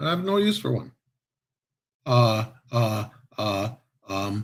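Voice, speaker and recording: Very slow, somewhat breathy speech with lively intonation. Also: man, medium pitch for a man. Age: 60s. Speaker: podcast host. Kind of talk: casual chat. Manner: animated.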